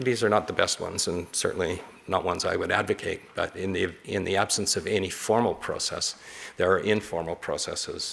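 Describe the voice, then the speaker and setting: Speaking at a fairly quick pace, a man talks with a Canadian accent. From Canada. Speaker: disaster risk reduction expert, keynote speaker. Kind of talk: lecture Q&A. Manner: halting.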